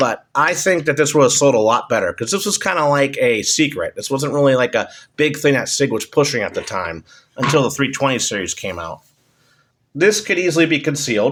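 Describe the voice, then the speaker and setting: On a very clean recording with a silent background, a man speaks at a fairly quick pace in a fairly high voice. His intonation is lively, with vocal fry. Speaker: firearms reviewer. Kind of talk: casual product review. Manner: hesitant, many filler ums.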